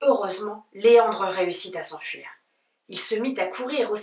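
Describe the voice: In quiet surroundings, the pitch shifts in an ordinary way during this plain reading aloud.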